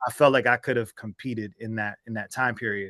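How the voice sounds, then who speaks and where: A man speaks in an ordinary speaking voice with an American accent, his pitch medium. The background is quiet. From US Northeast, southern New Jersey (Atlantic City area). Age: 30s. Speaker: rap artist. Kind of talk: interview. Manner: casual, filler-heavy.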